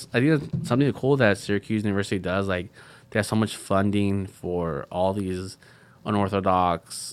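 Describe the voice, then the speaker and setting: The speech has an American accent, a moderate pace and ordinary pitch variation. The recording is very clean, with a silent background. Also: man. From Central California. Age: 20s. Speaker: student veteran. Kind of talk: interview. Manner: casual, halting.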